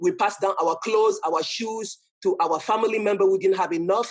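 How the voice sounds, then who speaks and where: The speaker talks at a fairly quick pace with a strong French accent. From Cameroon. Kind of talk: talk to an audience. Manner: halting, frequent self-repetition.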